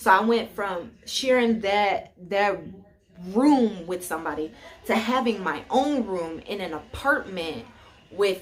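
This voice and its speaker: Animated woman with lively intonation and a fairly slow pace amid noticeable background noise. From Chicago, US Midwest. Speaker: YouTuber, college student. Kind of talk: casual chat. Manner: loud.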